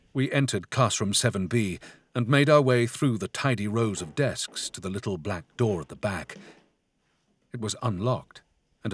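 An unremarkable speaking voice from a man, fairly low in pitch, with lively intonation, big swings in loudness and a moderate pace, dry and close with no echo on a very clean recording with a silent background. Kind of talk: gothic horror audiobook narration. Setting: studio.

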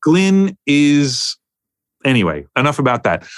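With a New York accent, a man speaks with lively intonation. The recording is very clean with a silent background, dry and close with no echo. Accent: New York American. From US, New York. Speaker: music producer and mix engineer. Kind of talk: casual interview chat.

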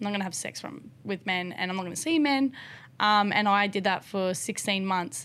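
Lively intonation at a fairly quick pace. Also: woman, medium pitch for a woman. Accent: Australian. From rural South Australia. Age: 20s. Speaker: motocross rider and paraplegic drift car builder. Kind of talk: casual interview.

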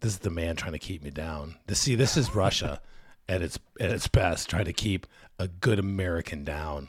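A man speaks with a very deep, low pitch, ordinary pitch variation and a moderate pace. His tone is animated and somewhat breathy, in a very clean recording with a silent background. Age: middle-aged. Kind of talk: casual chat. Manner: animated, excitable.

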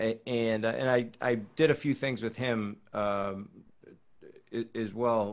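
Speaking very slowly in an American accent, a man keeps a medium pitch and fairly even intonation. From Boston area, US. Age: 30s. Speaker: breath coach and actor. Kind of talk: casual chat.

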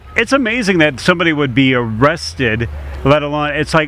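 In a normal speaking voice, a man talks fast-ish, at a fairly quick pace and fairly high pitch. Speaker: radio host. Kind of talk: casual radio interview. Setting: radio show at a car show. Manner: upbeat, jovial.

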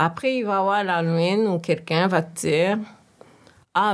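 In a normal speaking voice, a woman talks at a fairly slow pace with a fairly low pitch and ordinary pitch variation. The recording is very clean, with a silent background. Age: 40s. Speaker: professional speaking on systemic racism. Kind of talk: casual conversation.

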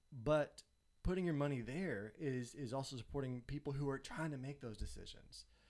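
A man speaks with a Southern US accent and ordinary pitch variation. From Tennessee. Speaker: photographer. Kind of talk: casual chat.

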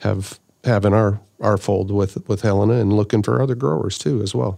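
A man with a Canadian prairie accent, a dark, mellow tone, fairly low pitch, ordinary pitch variation and a moderate pace. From Saskatchewan, Canada. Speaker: agricultural product development director. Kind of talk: interview. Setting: studio.

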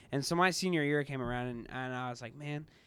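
A man with an American accent races along at a very fast pace, medium in pitch with fairly even intonation, in a very clean recording with a silent background. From US Midwest, Kansas City area. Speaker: new church staff member. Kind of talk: casual interview.

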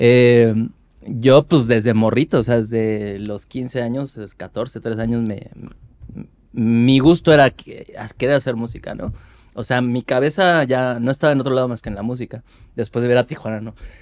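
Over a silent background on a very clean recording, a man with an ordinary speaking voice talks at a moderate pace and medium pitch, his intonation fairly even and his loudness swinging widely. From Mexico City, Iztapalapa. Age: 40s. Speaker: ska band vocalist. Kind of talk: casual interview chat.

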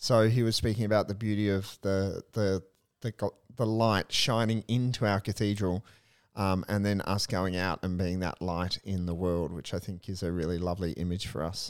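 A man with an unremarkable speaking voice talks at a moderate pace in a fairly low pitch, his intonation fairly even, the sound dry and close with no echo. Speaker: priest and podcast co-host. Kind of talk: casual discussion of a spiritual book.

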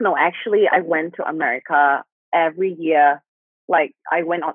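With a Thai accent, a woman speaks at a moderate pace in a fairly low voice with ordinary pitch variation. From Thailand. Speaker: guest sharing life story. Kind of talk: testimony. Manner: halting.

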